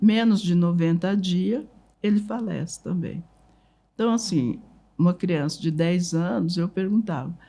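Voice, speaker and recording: Pausing long and often, a woman speaks with a fairly low pitch, ordinary pitch variation and a dark, mellow, somewhat breathy tone. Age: 80s+. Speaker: writer and family memory keeper. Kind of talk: interview storytelling.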